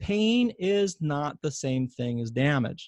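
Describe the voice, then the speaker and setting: The sound is dry and close with no echo as a man speaks at a fairly high pitch with very wide pitch swings. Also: quiet background. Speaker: physician and pain science educator. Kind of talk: webinar lecture. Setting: online webinar. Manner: fast.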